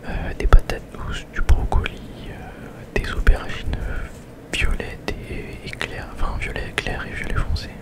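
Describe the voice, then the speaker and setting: Whispering at a fairly slow pace in a relaxed tone, a man leaves long, frequent pauses, his loudness swinging widely over noticeable background noise. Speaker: ASMR vlogger. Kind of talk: casual vlog talk to camera. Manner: relaxed, hesitant, conversational.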